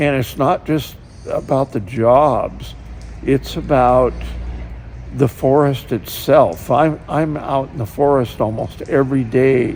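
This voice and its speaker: Background noise is noticeable as a man speaks with an American accent. He talks very slowly. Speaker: logger and logging company owner. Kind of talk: interview. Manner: halting.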